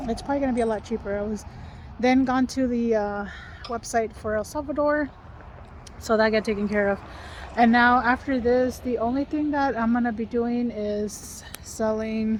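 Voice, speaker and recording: A woman's fairly high pitch with fairly even intonation at a moderate pace. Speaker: vlogger. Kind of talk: casual vlog talk. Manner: whispering.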